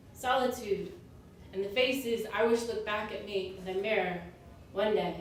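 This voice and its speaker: A woman with a medium pitch speaks at a moderate pace, her intonation fairly even, with long, frequent pauses. Noticeable background noise and audible room echo fill the recording. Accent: American. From US suburbs. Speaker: spoken word poet. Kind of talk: slam poetry performance.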